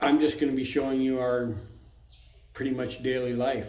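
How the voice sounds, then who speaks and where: A man with a medium-pitched voice is heard over noticeable background noise and audible room echo. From Canada. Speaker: expat vlogger. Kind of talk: casual vlog talk. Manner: monotone; hesitant, with fillers.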